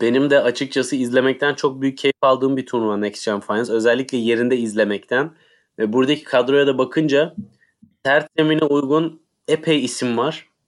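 A man uses a normal speaking voice, medium in pitch with fairly even intonation, at a moderate pace. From Turkey. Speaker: tennis podcast co-host. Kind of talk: casual chat.

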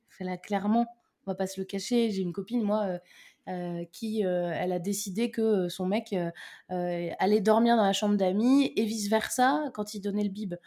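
A woman talks at a fairly slow pace in a dark, mellow tone. The recording is very clean, with a silent background. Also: medium pitch for a woman, ordinary pitch variation. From Brittany, France. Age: 30s. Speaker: mother and business owner. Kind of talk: casual interview chat.

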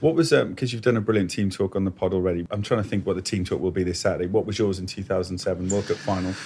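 At a very fast pace and with hardly any pauses, a man speaks in a dark, mellow, somewhat breathy voice at a fairly low pitch with ordinary pitch variation. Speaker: podcast host. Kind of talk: casual chat. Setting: studio in Paris.

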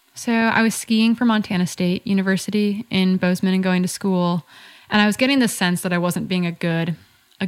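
Speaking with an American accent, a woman has an unremarkable speaking voice at a medium pitch. She talks at a moderate pace with ordinary pitch variation. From US Midwest (northern Wisconsin). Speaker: ultrarunner and running coach. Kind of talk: casual interview chat.

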